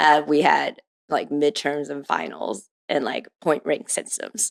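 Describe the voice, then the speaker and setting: Speaking at a very slow pace with a Midwestern accent, a woman has a very deep, low pitch, vocal fry and ordinary pitch variation, in a dry, close recording with no echo. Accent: American, Midwestern. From Taiwan and Ohio (Cleveland suburbs). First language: Mandarin. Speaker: venture capitalist. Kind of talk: podcast interview.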